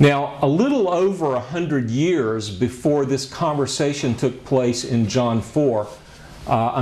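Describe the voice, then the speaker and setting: The pace is very slow. A man speaks with ordinary pitch variation. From USA. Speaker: pastor and Bible lecturer; Bible teacher. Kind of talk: lecture. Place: classroom. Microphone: lapel.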